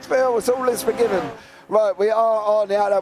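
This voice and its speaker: The voice is a man's. Noticeable background noise runs underneath. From England. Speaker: sim racing commentator. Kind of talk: live commentary. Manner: animated.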